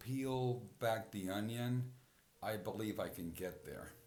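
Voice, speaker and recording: A man speaks with fairly even intonation. There is audible room echo. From Puerto Rico. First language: Spanish. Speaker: podcast host. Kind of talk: personal reflective monologue. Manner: halting, frequent repetitions and fillers.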